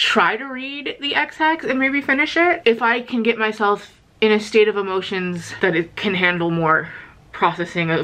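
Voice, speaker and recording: This woman talks at a moderate pace. Her pitch swings very widely. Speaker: vlogger. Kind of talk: casual vlog chat. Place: home room. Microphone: phone near.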